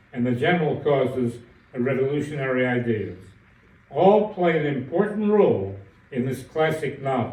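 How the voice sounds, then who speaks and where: Speaking with an American accent in an ordinary speaking voice, the talker keeps a moderate pace and lively intonation. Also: man, medium pitch for a man. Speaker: professor of Russian literature. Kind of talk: literature lecture.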